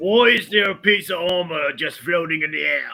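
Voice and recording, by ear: A man does a put-on character voice pitched high, moving at a moderate pace. Faint music plays in the background.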